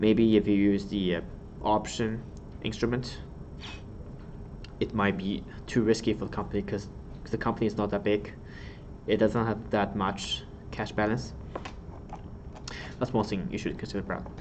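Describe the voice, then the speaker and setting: Amid audible room echo, a man with a fairly low pitch speaks at a moderate pace, with fairly even intonation and long, frequent pauses. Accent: Chinese. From China. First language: Chinese. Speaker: exam tutor. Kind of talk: lecture. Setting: live stream.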